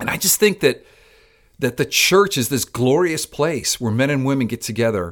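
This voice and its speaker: With an American accent, a man in a plain, everyday voice speaks at a moderate pace with lively intonation. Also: fairly high pitch for a man. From Miami, Florida (Cuban American family). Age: 60s. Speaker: pastor. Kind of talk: interview conversation.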